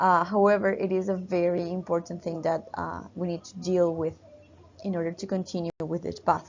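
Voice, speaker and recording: Speaking at a moderate pace with a Spanish accent, a woman keeps a monotone, flat intonation at a fairly low pitch while her loudness swings widely. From Peru. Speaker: university teacher. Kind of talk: lecture. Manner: halting, many fillers.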